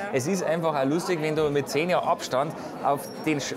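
A man speaks at a moderate pace. Noticeable background noise runs underneath. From Bavaria. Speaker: film director. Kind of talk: interview answer. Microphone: lapel.

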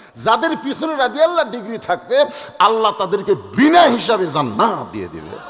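Over noticeable background noise, a man speaks at a high pitch with very wide pitch swings and big swings in loudness. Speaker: Islamic preacher. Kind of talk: sermon.

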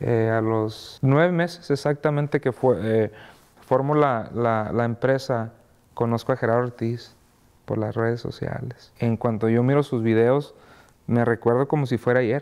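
Intonation stays fairly even, and the pace is moderate. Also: man. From Mexico. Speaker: music label founder; interviewee. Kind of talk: interview. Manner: halting, many fillers and repeats. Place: studio.

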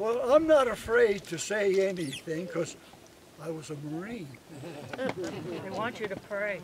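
Over noticeable background noise, a man with a high voice and an American accent talks at a fairly slow pace with big swings in loudness, the sound dry with no echo. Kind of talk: speech at community celebration. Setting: event with live audience. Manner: halting. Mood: humorous, anecdotal. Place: open country.

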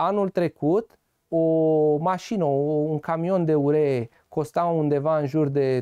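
Against a quiet background, a man speaks with a dark, mellow tone. His pitch is fairly high, with ordinary variation. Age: 20s. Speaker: farmer and agronomist; guest. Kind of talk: TV interview. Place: studio.

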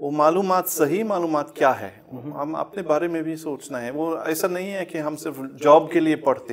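In a German accent, a man talks with ordinary pitch variation. His loudness swings widely over light background noise. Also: fairly high pitch for a man, fairly slow pace. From Germany. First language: German (speaking Hindi). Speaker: professor; interviewed professor guest. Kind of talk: interview. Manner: halting. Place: studio. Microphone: lapel.

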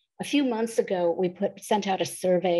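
A woman talks at a fairly quick pace over a quiet background. Her voice is fairly low in pitch, with a dark, mellow tone. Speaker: presenter. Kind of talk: webinar presentation. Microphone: video call.

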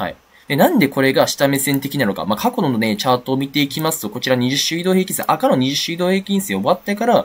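A man talks at a very fast pace. His voice carries vocal fry. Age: 20s. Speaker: crypto trader YouTuber. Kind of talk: market analysis monologue. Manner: casual, many fillers.

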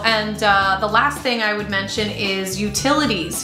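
A woman speaks with audible room echo while music plays clearly in the background. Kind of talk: casual vlog chat. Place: home room.

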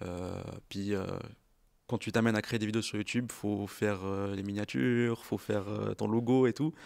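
The recording is very clean, with a silent background. Pitch variation is ordinary and the pace moderate. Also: man, fairly low pitch for a man. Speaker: apprentice media designer, co-host. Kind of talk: casual chat.

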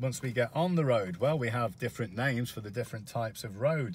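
Lively intonation from a somewhat breathy man, in a dry recording with no echo. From UK. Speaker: English teacher. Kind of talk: educational talk to camera.

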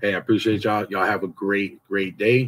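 Over light background noise, a man with an unremarkable speaking voice talks at a fairly quick pace, his pitch fairly low and his intonation fairly even. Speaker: motivational vlogger. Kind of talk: casual vlog chat. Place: garage. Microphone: phone near.

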